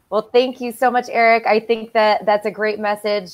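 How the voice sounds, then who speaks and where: An ordinary speaking voice from a woman with an American accent, fairly high in pitch, at a fairly quick pace. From Michigan. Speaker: company podcast host. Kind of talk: casual video interview.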